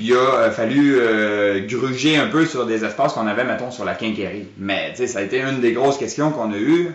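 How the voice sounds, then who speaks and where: A man with a Quebec accent speaks at a medium pitch with ordinary pitch variation and hardly any pauses. Noticeable background noise and audible room echo are present in the recording. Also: moderate pace. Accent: Québécois French. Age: 30s. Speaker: grocery store owner. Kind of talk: interview. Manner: halting.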